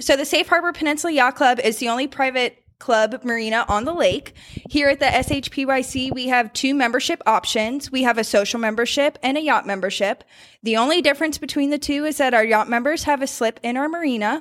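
With an American accent, a woman speaks in a high pitch with ordinary pitch variation. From Northern Virginia (Warrenton). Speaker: yacht club events director. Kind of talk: interview.

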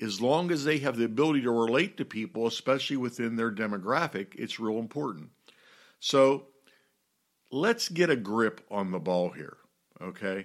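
In an ordinary speaking voice, a man with an American accent speaks at a moderate pace and medium pitch with lively intonation, on a very clean recording with a silent background. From US, Pittsburgh. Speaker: pastor and church leadership teacher. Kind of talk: teaching talk on church leadership.

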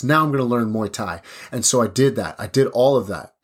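An animated man with a Canadian Prairies accent, medium pitch and a fairly quick pace, on a very clean recording with a silent background. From Saskatchewan reserve, Canada. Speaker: podcast host, kickboxer. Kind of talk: motivational monologue.

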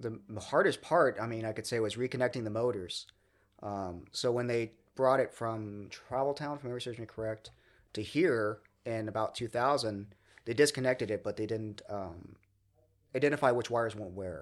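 Speaking at a fairly quick pace with an American accent, a man has a normal speaking voice of medium pitch and ordinary pitch variation, on a very clean recording with a silent background. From Southern California (Redlands). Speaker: museum volunteer, streetcar restorer. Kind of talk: casual interview.

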